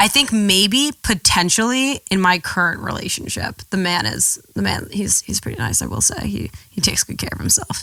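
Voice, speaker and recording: A woman's animated voice with an American accent at a moderate pace, with hardly any pauses. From US Northeast, New York City. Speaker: model. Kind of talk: casual chat.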